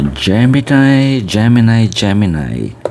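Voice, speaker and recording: Over noticeable background noise, a man speaks softly. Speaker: tarot reader. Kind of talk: casual chat. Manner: soft-spoken.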